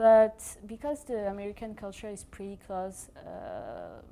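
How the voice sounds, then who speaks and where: Her medium-pitched voice has a dark, mellow tone and a strong French accent. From France. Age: 20s. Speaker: exchange student. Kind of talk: interview. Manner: hesitant, many fillers.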